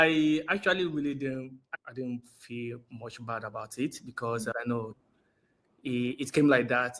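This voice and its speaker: Speaking at a fairly slow pace with a Nigerian accent, a man of medium pitch keeps his intonation fairly even. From Nigeria, Osun State. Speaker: interviewee. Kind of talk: interview.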